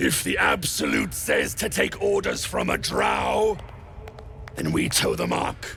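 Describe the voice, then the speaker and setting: A man speaks in a put-on character voice at a fairly slow pace. Clear background noise is present. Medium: video game. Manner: rough, sneering.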